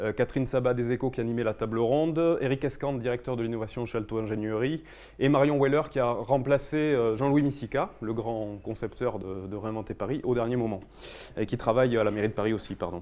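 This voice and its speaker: A dark, mellow tone from a man at a medium pitch, with a fairly quick pace and ordinary pitch variation. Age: young. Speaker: architect. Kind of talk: conference talk. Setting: conference room with audience. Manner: fast; hesitant, many fillers.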